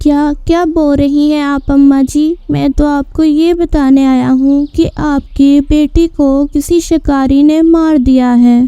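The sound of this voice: In a cartoonish character voice with a high pitch, a woman talks at a fairly slow pace with hardly any pauses, over light background noise.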